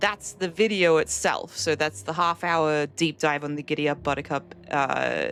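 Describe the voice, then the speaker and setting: Vocal fry runs through this woman's speech. Her pitch is very deep and low, and her pace is moderate. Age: 30s. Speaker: video game streamer. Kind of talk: live gameplay stream chat. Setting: live stream.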